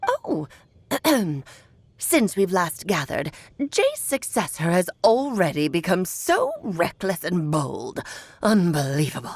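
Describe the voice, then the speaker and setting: This woman uses a put-on character voice at a medium pitch. She talks at a fairly slow pace with long, frequent pauses. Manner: haughty, disapproving.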